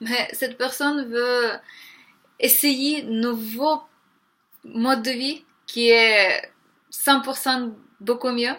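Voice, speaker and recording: Very slowly, a woman with a Ukrainian accent projects a raised, high-pitched voice, bright and sharp in tone with fairly even intonation. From Ukraine. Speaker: vegan vlogger. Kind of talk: motivational vlog monologue. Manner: hesitant, many 'euh' fillers.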